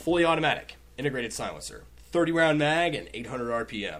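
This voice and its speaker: A man is speaking. His pace is moderate. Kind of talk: game show host, casual comedic banter with profanity. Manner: animated, playful, teasing.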